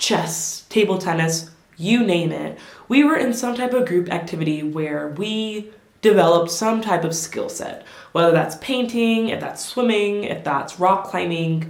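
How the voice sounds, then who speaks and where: A woman at medium pitch with lively intonation and a fairly slow pace, amid noticeable background noise and audible room echo. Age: 20s. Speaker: lifestyle vlogger. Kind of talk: casual advice talk to camera. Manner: conversational, animated.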